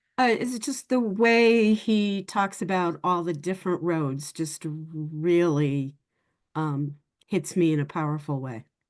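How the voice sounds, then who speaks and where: Speaking fairly slowly, a woman with an unremarkable speaking voice and fairly low pitch uses lively intonation. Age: 60s. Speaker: workshop participant, adoptee. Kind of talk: casual group sharing.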